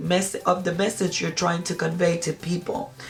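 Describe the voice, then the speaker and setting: A woman with a Spanish accent speaks in a fairly low, somewhat breathy voice. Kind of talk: product review. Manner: halting, with many fillers.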